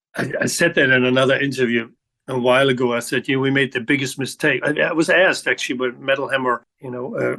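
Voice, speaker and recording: Here a man talks in a normal speaking voice, at a fairly quick pace and a medium pitch. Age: 60s. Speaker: rock bass guitarist. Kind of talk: interview.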